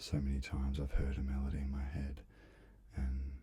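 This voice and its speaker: Against noticeable background noise, a soft-spoken voice moves at a moderate pace. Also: man. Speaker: musician. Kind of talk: ASMR soft-spoken ramble.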